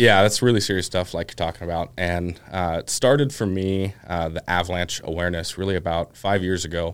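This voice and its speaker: Captured in a very clean recording with a silent background, a man with an American accent speaks in a very deep, low voice at a fairly quick pace with hardly any pauses. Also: ordinary pitch variation. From Oregon, US Pacific Northwest. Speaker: snowmobiler. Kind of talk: casual chat.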